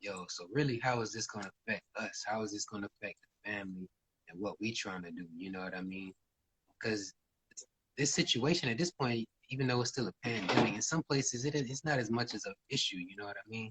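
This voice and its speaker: In an unremarkable speaking voice, a man talks at a fairly quick pace with a medium pitch and ordinary pitch variation. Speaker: musician. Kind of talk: casual interview.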